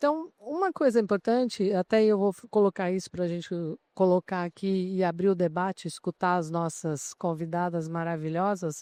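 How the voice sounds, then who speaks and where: A woman at medium pitch speaks at a moderate pace with ordinary pitch variation, recorded dry and close with no echo. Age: 60s. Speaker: HR association president and CEO. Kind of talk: panel talk at a trade fair. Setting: exhibition stand with live audience. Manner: animated.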